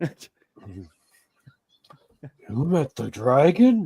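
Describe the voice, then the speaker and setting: A man performs a put-on character voice at a fairly high pitch. His pitch swings very widely. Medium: actual play. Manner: broken, simple grammar.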